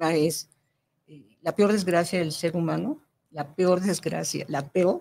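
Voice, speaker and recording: A woman's very deep, low voice with a dark, mellow tone and vocal fry, fairly slow pace and ordinary pitch variation. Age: 70s. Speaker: spiritual growth teacher. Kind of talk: interview. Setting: radio studio. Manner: halting.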